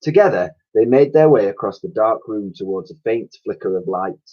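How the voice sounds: A man talks at a moderate pace. His pitch is fairly low, with lively intonation.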